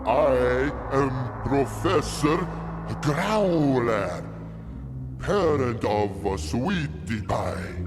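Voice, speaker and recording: Over loud background music, a man puts on a character voice and speaks at a very slow pace. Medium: audio drama. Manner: emphatic, quick to accuse.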